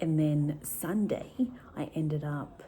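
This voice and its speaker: A somewhat breathy woman with a dark, mellow tone, amid audible room echo. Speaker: vlogger. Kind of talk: casual vlog talk.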